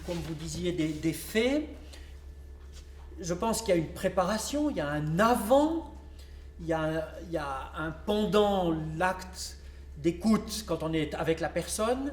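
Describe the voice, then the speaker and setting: A very slow pace with noticeable background noise. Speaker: round table moderator. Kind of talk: panel moderation. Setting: public round table conference. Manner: stammering, repeats words.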